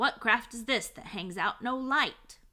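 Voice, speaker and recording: A woman puts on a gruff character voice at a high pitch. She speaks at a fairly slow pace. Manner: demanding.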